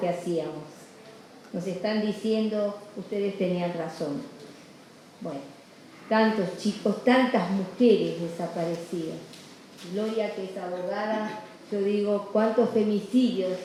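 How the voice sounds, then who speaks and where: Amid noticeable background noise and audible room echo, a woman at a medium pitch speaks at a fairly slow pace with fairly even intonation and long, frequent pauses. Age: 80s+. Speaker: activist nun. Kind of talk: award acceptance speech. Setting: legislature hall with audience. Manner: halting, many fillers.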